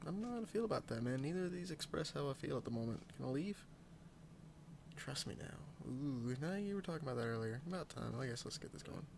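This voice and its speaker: A man's fairly high, somewhat breathy voice, with lively intonation, at a very fast pace. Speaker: let's play gamer. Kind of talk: casual gameplay commentary.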